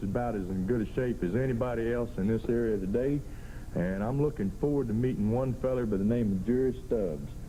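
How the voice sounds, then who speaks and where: With a Southern US accent, a man speaks at a fairly quick pace in a medium-pitched, dark, mellow tone with ordinary pitch variation. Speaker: professional wrestler. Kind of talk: wrestling promo interview.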